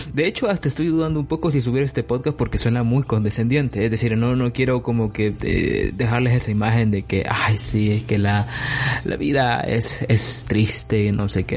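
A man talking at a moderate pace, with noticeable background noise. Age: 20s. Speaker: solo podcaster. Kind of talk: personal reflective monologue. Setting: recording alone at night. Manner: halting.

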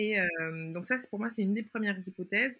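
Bright and sharp in tone, a woman speaks at a medium pitch and a moderate pace. Her pitch varies in an ordinary way. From Martinique. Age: 20s. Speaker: anthropologist and patient expert. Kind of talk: interview testimony.

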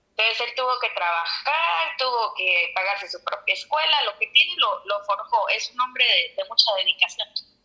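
A woman speaks at a moderate pace with hardly any pauses over noticeable background noise. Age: 30s. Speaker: podcast guest. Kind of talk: casual chat.

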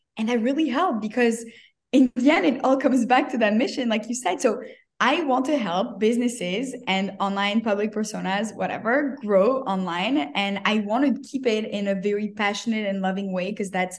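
With ordinary pitch variation and a fairly high pitch, a woman talks at a moderate pace in a somewhat breathy voice. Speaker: social media agency owner. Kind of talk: casual interview.

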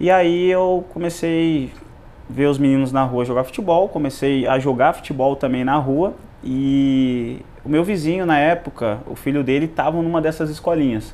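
With ordinary pitch variation, a man talks at a moderate pace and a fairly high pitch. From Joinville, Santa Catarina, Brazil. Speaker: entrepreneur, former footballer. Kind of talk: interview.

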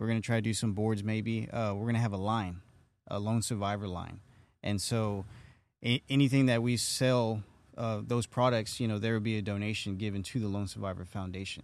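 A man's fairly low voice at a fairly quick pace, with fairly even intonation. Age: 30s. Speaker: podcast host. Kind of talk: casual interview. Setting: studio. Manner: halting, many fillers.

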